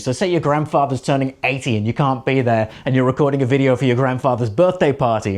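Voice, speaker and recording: Delivered at a very fast pace with hardly any pauses, the voice keeps an animated tone, ordinary pitch variation and very even loudness. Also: man. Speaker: presenting coach. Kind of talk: tutorial. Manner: animated, high energy.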